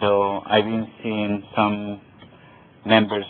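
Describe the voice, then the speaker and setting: A man with a non-native accent speaks at a fairly low pitch. His pace is very slow. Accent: foreign. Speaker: club guest. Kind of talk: impromptu remarks. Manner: halting.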